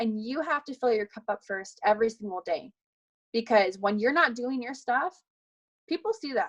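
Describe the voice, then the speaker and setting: Fairly high in pitch, a woman talks at a moderate pace with lively intonation, an animated tone and big swings in loudness, in a dry, close sound with no echo. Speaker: fitness coach. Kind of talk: team call pep talk.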